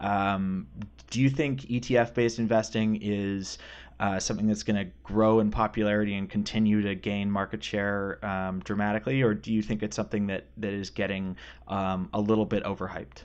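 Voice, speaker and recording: In a plain, everyday voice, a man with a fairly low pitch talks at a fairly quick pace with fairly even intonation. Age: 20s. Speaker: podcast host, market strategist. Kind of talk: interview conversation.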